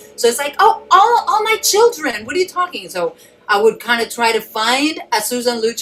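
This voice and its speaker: A woman talks at a moderate speed, her pitch swinging very widely, with noticeable background noise behind her. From Mexico City. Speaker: actress. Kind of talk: panel discussion. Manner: animated.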